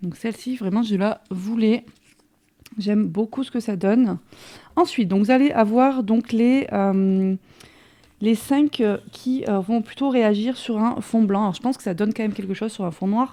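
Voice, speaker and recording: A woman's fairly high voice with a dark, mellow tone, fairly slow in pace, with ordinary pitch variation. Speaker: crafting youtuber. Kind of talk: product haul and demo. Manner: hesitant, many fillers.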